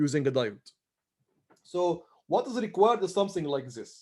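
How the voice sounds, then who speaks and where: The man's voice is high, with lively intonation. He talks at a moderate pace. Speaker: university lecturer. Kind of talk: lecture. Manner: halting, many fillers.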